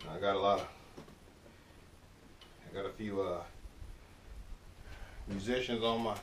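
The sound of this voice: There is audible room echo around a man speaking at a fairly low pitch.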